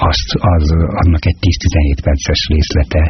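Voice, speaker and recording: A man speaks over noticeable background noise. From Hungary, Budapest. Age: 60s. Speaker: poet. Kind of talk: interview.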